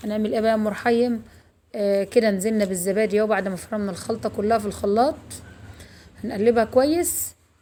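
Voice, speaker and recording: A woman talks at a fairly quick pace with a fairly high pitch. Her tone is dark and mellow, and her pitch variation is ordinary. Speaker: cooking channel host. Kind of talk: cooking tutorial. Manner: straining to speak louder.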